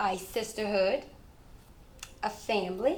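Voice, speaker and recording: Audible room echo surrounds a woman speaking at a medium pitch and a very slow pace. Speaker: fitness instructor. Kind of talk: interview. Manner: casual, conversational.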